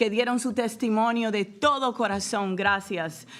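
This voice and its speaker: With a Spanish accent, a woman talks at a moderate pace. Her fairly high voice keeps a fairly even intonation. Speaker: state legislator. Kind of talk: ceremonial speech. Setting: bill signing ceremony with audience.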